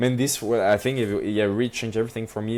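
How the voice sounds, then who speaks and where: A man speaks with a strong French accent. The recording is very clean, with a silent background. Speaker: entrepreneur. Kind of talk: casual interview chat. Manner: many fillers and hesitations.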